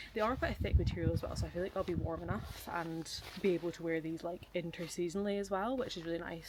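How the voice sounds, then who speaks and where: In a Scottish accent, a woman talks at a very fast pace. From Scotland. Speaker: travel vlogger. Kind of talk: vlog.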